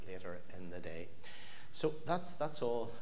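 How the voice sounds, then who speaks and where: At a moderate pace, a man speaks over light background noise. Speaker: parish minister. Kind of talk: church announcements. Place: church.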